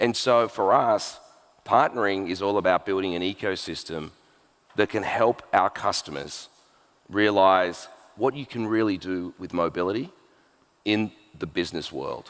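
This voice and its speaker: A man in an Australian accent at a moderate pace, with ordinary pitch variation and long, frequent pauses. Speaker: tech executive. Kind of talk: onstage interview. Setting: stage with audience.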